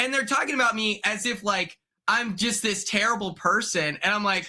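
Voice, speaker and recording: A man's high, raised and projected voice, bright, sharp and energetic, at a moderate pace with very even loudness. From Oklahoma. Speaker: reality TV contestant. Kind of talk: podcast interview. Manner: energetic, excitable.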